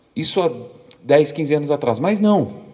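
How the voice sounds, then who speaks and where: A man's fairly high voice with lively intonation, audible room echo and noticeable background noise. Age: 40s. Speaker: documentary photographer. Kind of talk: lecture. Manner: halting, frequent repetitions.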